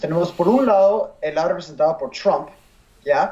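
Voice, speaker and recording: Over noticeable background noise, a man with a high pitch and a non-native accent talks at a moderate pace with lively intonation. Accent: non-native Spanish, some Spanglish. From USA, Venezuelan heritage. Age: 20s. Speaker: university economics student. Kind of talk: interview. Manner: halting, many fillers.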